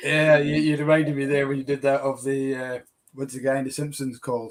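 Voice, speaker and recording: Speaking fairly quickly with a Scottish accent, a man uses a fairly high pitch and monotone, flat intonation. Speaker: whisky shop host. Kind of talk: casual chat.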